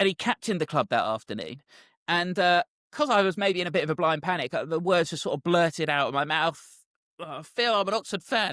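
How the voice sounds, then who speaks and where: With a southern English accent, the speaker talks at a fairly quick pace with lively intonation and a bright, sharp tone, in a dry, close recording with no echo and a silent background. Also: man, high pitch for a man. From southern England. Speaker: football commentator. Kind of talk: casual chat, anecdote.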